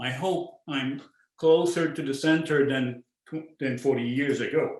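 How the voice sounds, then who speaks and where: This man speaks with a Quebec accent. His pitch is fairly high. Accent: French-Canadian accent in English. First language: French. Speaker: visual artist. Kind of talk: artist talk. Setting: virtual talk. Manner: halting, with frequent repetitions and fillers.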